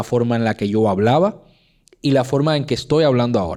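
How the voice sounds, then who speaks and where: This man has a strong Cuban accent and a dark, mellow tone, with lively intonation at a moderate pace. The recording is very clean, with a silent background. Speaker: podcast host. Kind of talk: casual chat. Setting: studio. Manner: clipped diction, drops sounds.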